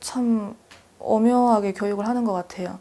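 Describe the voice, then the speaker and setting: With a dark, mellow tone, a woman of medium pitch speaks at a moderate pace and fairly even intonation. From North Korea, North Hamgyong. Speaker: North Korean defector, student. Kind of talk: interview.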